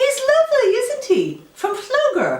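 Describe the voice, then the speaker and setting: Squeaky put-on character voice at a fairly slow pace, with a slight echo. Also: woman. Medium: read story.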